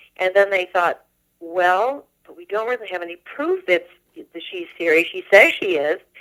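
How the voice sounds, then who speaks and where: In an ordinary speaking voice, a woman talks at a moderate pace. Her intonation is lively. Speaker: voice-over artist, musician, original voice of a voice assistant. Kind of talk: radio phone interview, casual conversation.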